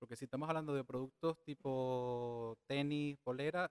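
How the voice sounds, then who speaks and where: A man speaks in a plain, everyday voice at medium pitch with fairly even intonation, recorded dry and close with no echo. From Venezuela. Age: 30s. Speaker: digital marketing specialist. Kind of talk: casual interview.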